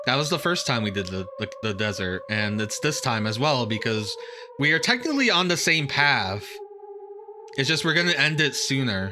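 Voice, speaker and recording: Against background music, a man's voice swings very widely in pitch. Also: fairly high pitch for a man, moderate pace. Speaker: video game streamer. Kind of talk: let's play commentary. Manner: casual, conversational.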